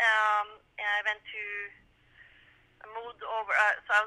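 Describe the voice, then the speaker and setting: Speaking with a Norwegian accent, a woman keeps a moderate pace and a fairly high pitch. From Norway. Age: 50s. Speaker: sprint musher. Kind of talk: interview. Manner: halting.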